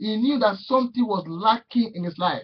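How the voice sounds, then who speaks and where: A man with a high pitch. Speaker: preacher. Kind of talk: sermon. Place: home room. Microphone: webcam.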